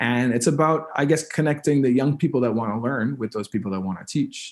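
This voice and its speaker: At a moderate pace, a man with a Canadian accent talks with very wide pitch swings. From New Brunswick, Canada (First Nation). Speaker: musician. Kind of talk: interview conversation. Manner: many fillers and repetitions.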